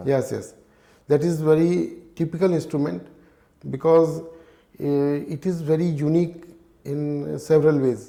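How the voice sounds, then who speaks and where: A man speaks with an Indian accent in a dark, mellow tone. His intonation is monotone and flat, and his pace is fairly slow. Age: 60s. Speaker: retiree learning harmonica. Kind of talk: podcast interview answer.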